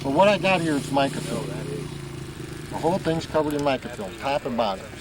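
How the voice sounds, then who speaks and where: Over noticeable background noise, a man with an American accent talks very fast at a fairly high pitch, with lively intonation. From US Midwest, St. Louis area. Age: 50s. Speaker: model airplane flyer. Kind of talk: interview. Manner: casual, with many hesitations.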